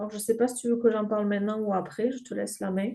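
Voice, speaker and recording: In a southern French accent, a woman talks at a very fast pace. Her tone is dark and mellow. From southern France. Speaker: grief counsellor and game creator. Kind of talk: podcast interview. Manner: hesitant, many filler sounds.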